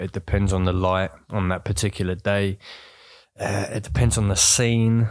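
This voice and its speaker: A man with an ordinary speaking voice talks at a moderate pace with a fairly low pitch and fairly even intonation, in a very clean recording with a silent background. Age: 20s. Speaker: photography student. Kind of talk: casual chat. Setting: at home on a sofa.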